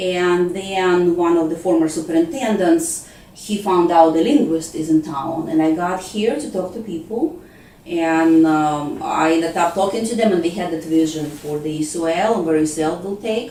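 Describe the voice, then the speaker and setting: A woman with a non-native accent and fairly low pitch at a moderate pace, ordinary pitch variation, audible room echo and noticeable background noise. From Ukraine. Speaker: school language program coordinator. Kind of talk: interview.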